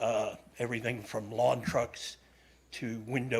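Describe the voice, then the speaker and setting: A somewhat breathy man talks at medium pitch in a monotone, flat delivery, with audible room echo. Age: 70s. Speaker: resident giving public comment. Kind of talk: public comment at council meeting. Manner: halting.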